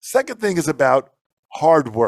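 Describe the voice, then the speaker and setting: A man speaks in an animated tone with a New York accent, his pitch fairly high. The pace is moderate, and the sound is dry and close with no echo. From Long Island, New York. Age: 60s. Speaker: drum instructor and motivational speaker. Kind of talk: interview.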